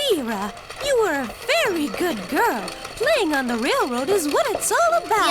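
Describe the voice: A cartoonish character voice squeaks at an extremely high pitch over loud background noise. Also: moderate pace.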